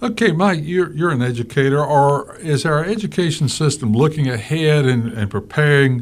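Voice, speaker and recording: This man has a plain, everyday voice, fairly high in pitch, with lively intonation. He keeps a moderate pace and very even loudness, with hardly any pauses. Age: 50s. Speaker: radio talk show host. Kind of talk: radio interview. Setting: radio studio.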